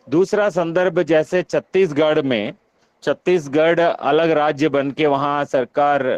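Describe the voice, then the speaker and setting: A man speaks with a Telangana accent in a fairly high pitch. There is ordinary pitch variation, and the sound is dry and close with no echo. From Telugu-speaking South India (Andhra/Telangana). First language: Telugu (speaking Hindi). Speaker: university professor, workshop convener. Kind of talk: online workshop discussion. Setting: online video meeting. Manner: halting, many filler sounds.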